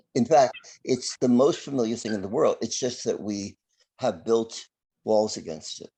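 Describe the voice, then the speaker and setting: Over a quiet background, a man with a medium-pitched, dark, mellow voice talks at a moderate pace, with ordinary pitch variation and big swings in loudness. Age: 70s. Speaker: astrologer. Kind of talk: interview.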